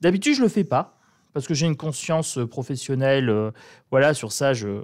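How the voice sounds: In a northern French accent, a man speaks with lively intonation and a slightly mellow tone.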